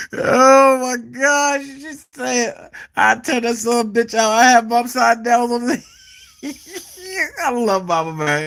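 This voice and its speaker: With an American accent, a man speaks at an extremely high pitch in a bright, sharp tone. His pace is fairly slow, with long, frequent pauses and ordinary pitch variation. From Texas. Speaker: talk show host. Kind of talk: live call-in show.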